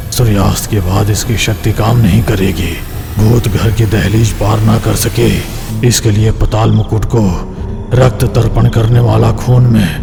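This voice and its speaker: Over loud background noise, a man performs a put-on character voice at a fairly low pitch and a moderate pace. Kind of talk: mythic horror drama. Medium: audio drama. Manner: solemn, measured, ominous.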